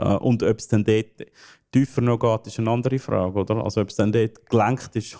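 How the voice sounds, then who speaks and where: A man speaks with a Swiss accent in a dark, mellow tone. His intonation is monotone and flat, and the sound is dry and close with no echo. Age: 30s. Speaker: game studio founder. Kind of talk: interview. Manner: halting, many fillers.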